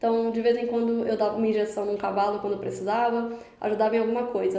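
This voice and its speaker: Amid noticeable background noise and audible room echo, a woman speaks very fast in a fairly high pitch. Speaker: YouTuber, veterinarian. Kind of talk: casual storytelling vlog.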